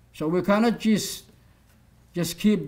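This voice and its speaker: With an Arabic accent, a man talks at a fairly slow pace in a high pitch. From Saudi Arabia. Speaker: human rights activist. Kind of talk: lecture. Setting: stage with audience. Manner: animated.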